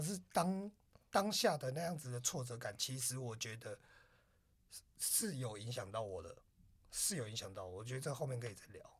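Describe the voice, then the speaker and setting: Somewhat breathy, a man's voice shows big swings in loudness and very wide pitch swings, with long, frequent pauses. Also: medium pitch for a man, moderate pace. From Taiwan, Taipei. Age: 30s. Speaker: podcast co-host, designer. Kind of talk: casual chat.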